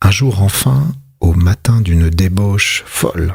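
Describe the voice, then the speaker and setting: A somewhat breathy man speaks at a very slow pace. His pitch is very deep and low, with ordinary variation. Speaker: ASMR reader. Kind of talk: whispered literary reading. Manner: whispered, soft-spoken.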